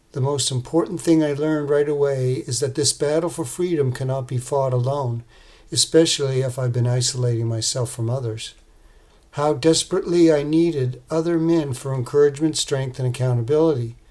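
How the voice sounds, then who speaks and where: This man's voice is fairly high, somewhat breathy, and dark and mellow in tone. His intonation stays fairly even. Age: 60s. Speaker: man in addiction recovery sharing his story. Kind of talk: prepared testimony. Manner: read from a script, even pace.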